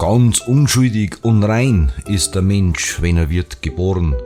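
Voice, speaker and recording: A man with a Bavarian accent speaks at a very slow pace in a fairly low pitch, with very wide pitch swings. Music plays in the background. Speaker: dialect poet. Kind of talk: poetry reading.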